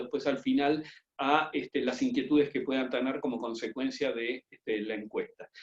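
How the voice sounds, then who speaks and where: A man speaks with an Argentine accent. His pitch is fairly high, and his intonation stays fairly even. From Argentina. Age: 50s. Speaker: business school professor. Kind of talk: webinar presentation. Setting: video conference from home. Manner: fast.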